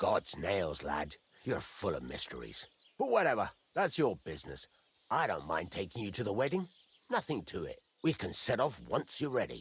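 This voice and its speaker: Gruff put-on character voice from a man at a medium pitch and moderate pace. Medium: video game. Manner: gruff, blunt.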